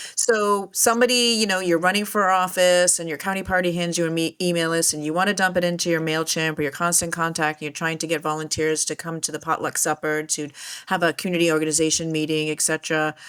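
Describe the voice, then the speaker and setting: A woman's fairly low voice at a very fast pace, hardly any pauses and fairly even intonation. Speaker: podcast host. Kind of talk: podcast interview.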